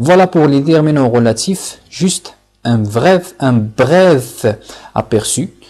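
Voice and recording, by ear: Speaking slowly at a medium pitch, a man uses lively intonation and a slightly mellow tone.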